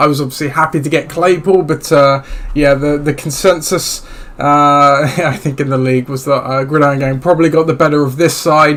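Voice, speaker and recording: The speech moves at a fairly quick pace with monotone, flat intonation. Noticeable background noise is present. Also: man, fairly high pitch for a man. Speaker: podcast host. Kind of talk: solo fantasy football podcast talk. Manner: casual, hesitant with many fillers.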